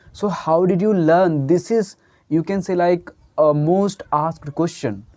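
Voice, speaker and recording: The speaker has an Indian accent. The pace is fairly slow. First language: Hindi. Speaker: English teacher. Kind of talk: tutorial. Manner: halting.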